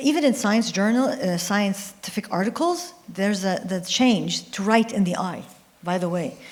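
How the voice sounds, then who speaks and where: A woman with an Arabic accent, medium in pitch, at a moderate pace with lively intonation, amid noticeable background noise. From Jordan, Palestinian-Syrian family. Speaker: scientist and author, panelist. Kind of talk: panel discussion. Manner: halting, with false starts.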